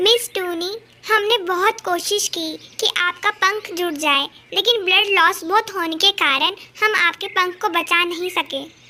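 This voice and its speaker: An extremely high, cartoonish character voice at a fairly slow pace. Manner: formal, measured.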